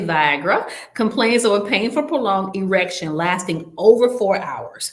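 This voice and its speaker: A woman at medium pitch and moderate pace, with audible room echo and noticeable background noise. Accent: Southern US. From US South. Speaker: nurse educator hosting a health webinar. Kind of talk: quiz review in an online webinar.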